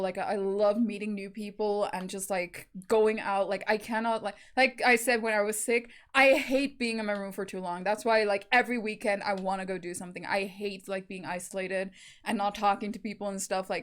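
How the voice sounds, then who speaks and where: A woman talks at a fairly quick pace with fairly even intonation. The recording is very clean, with a silent background. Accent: South African. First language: Afrikaans. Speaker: YouTube reactor. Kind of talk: casual chat. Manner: filler-heavy, hesitant.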